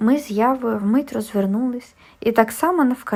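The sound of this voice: Ordinary pitch variation shows up in an unforced reading voice.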